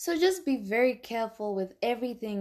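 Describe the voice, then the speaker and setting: At a fairly slow pace, a woman speaks in an animated tone with very wide pitch swings against a quiet background. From Zimbabwe. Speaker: podcast host. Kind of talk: solo podcast monologue.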